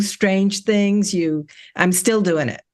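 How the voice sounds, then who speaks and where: A woman talks very slowly. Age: 60s. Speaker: breast cancer survivor. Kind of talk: testimony. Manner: halting, many repeated words and fillers.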